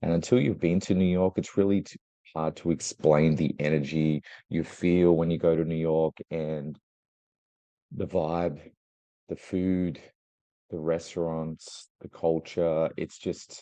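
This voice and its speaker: A man speaks fairly slowly with a very deep, low pitch, a dark, mellow tone and fairly even intonation. Long, frequent pauses break up his speech, and the sound is dry and close with no echo. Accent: Australian. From Australia. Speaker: travel industry executive. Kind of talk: interview.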